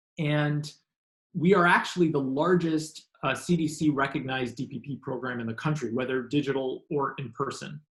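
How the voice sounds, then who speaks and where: Some breathiness runs through the voice. The intonation holds fairly level. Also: man, fairly high pitch for a man. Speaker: health program presenter. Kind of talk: webinar presentation. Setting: online webinar. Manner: fast; halting, many fillers.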